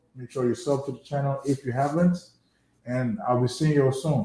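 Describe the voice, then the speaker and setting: A man's voice, dark and mellow in tone and somewhat breathy, moves through ordinary pitch variation. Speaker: football fan streamer. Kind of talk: casual live stream chat.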